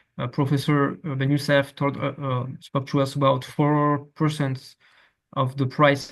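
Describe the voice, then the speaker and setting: Speaking at a fairly slow pace, the man has a medium pitch. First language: French. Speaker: academic researcher presenting. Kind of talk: academic presentation. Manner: halting, many fillers and repetitions.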